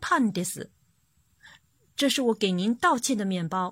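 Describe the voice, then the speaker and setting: With a dry, close sound with no echo on a very clean recording with a silent background, a woman at medium pitch speaks in an animated tone at a fairly slow pace. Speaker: children's Japanese teacher and storyteller. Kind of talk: reading aloud a picture book for children.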